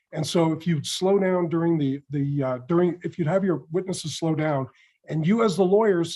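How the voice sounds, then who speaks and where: A man talks in a normal speaking voice at a fairly high pitch. His pace is moderate, with ordinary pitch variation. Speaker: mock trial judge. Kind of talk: spoken feedback.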